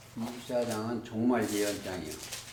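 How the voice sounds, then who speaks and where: A man speaks at a fairly slow pace, his pitch in the medium range. There is noticeable background noise and audible room echo. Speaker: bible teacher. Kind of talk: bible study lecture.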